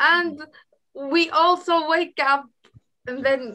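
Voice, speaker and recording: A woman with an Arabic accent uses a raised, projected voice. Her tone is bright and sharp. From Iraq. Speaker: guest speaker on culture. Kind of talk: online group chat. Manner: halting.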